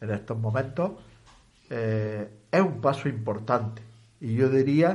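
A man's medium-pitched, somewhat breathy voice with a dark, mellow tone and ordinary pitch variation carries audible room echo. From Balerma, Almería, Spain. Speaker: retired teacher and activist. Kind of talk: radio interview. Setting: radio studio.

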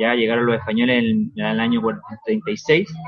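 This man's voice has ordinary pitch variation. It rests at a medium pitch. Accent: Chilean. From Chile, Rancagua. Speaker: tour company owner. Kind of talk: interview.

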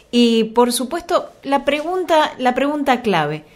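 A woman's pitch rises and falls very widely as she talks fairly slowly. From Argentina, Santa Fe province. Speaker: radio host. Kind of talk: radio interview.

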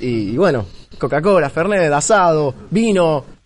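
A man speaks with lively intonation. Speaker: security professional. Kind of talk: live podcast conversation. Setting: live recording at a security conference.

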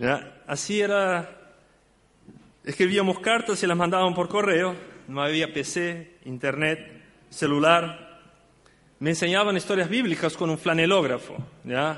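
Here a man speaks with a high pitch and ordinary pitch variation. His pace is fairly slow, broken by long, frequent pauses. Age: 50s. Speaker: church deacon and Sunday school teacher. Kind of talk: sermon.

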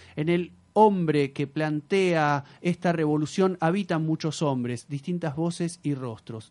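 Against a quiet background, a man talks in an unremarkable speaking voice, fairly high in pitch with ordinary pitch variation. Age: 30s. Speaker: radio host. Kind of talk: live radio talk show. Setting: radio studio.

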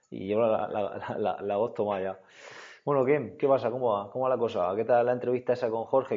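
A man's medium-pitched voice moves at a very fast pace, the intonation fairly even. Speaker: podcast host. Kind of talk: casual chat.

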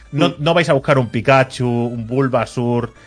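A man keeps a moderate pace while music plays in the background. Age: 30s. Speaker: video game podcast host. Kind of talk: casual chat. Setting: live stream.

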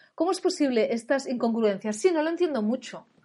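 A woman speaks in a high pitch. Her tone is animated. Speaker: parenting and education coach. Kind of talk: educational webinar talk. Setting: online webinar. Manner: animated, informal.

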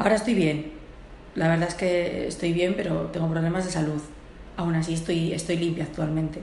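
In a room with audible echo and noticeable background noise, a woman speaks fairly quickly at a fairly low pitch, flat and monotone, her loudness very even. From Portugal. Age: 30s. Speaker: homeless person. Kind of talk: testimony. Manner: halting.

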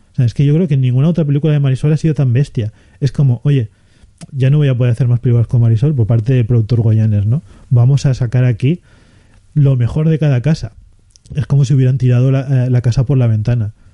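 A man speaks very fast at a medium pitch, somewhat breathy with a dark, mellow tone. His loudness stays very even and his intonation fairly even. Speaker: film podcast host. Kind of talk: casual chat.

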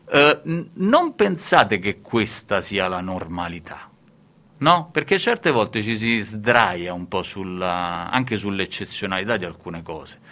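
Very slowly, a man speaks in a bright, sharp tone with very wide pitch swings. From central Italy, Lazio (Rome area). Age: middle-aged. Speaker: radio host. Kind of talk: radio show chat.

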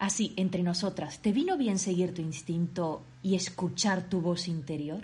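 Her voice dark, mellow and somewhat breathy, a woman speaks fairly slowly with hardly any pauses, a fairly low pitch and ordinary pitch variation. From Canary Islands, Tenerife. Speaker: podcast host. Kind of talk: scripted intro; interview.

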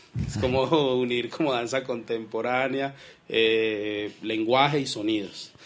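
A man's ordinary speaking voice, medium in pitch, at a fairly slow pace with fairly even intonation, on a very clean recording with a silent background. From Colombia, Pereira. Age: 30s. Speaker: writer and poet. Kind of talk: radio interview. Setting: studio.

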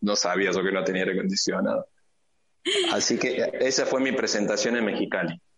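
Here a man speaks at a fairly quick pace. His loudness stays very even. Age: 50s. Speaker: entrepreneur. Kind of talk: interview.

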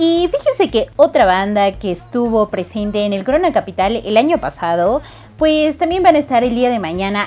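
Over music in the background, a woman with a Mexican accent speaks at a fairly slow pace, her pitch swinging very widely. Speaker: radio host. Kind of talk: casual chat.

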